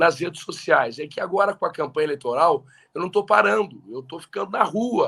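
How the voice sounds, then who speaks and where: A man with a high pitch and a bright, sharp tone speaks at a moderate pace with lively intonation. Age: 30s. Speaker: politician. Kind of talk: casual chat.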